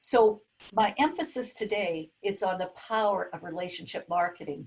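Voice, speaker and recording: A somewhat breathy woman at a medium pitch, a moderate pace and ordinary pitch variation. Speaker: webinar facilitator and business leader. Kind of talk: webinar presentation. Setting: video call.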